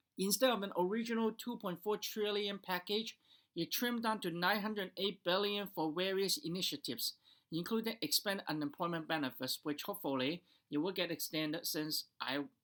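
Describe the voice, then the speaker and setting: The speech comes at a fairly quick pace in a very clean recording with a silent background. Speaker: stock market commentator. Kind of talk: market recap monologue. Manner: fast; hesitant, many fillers.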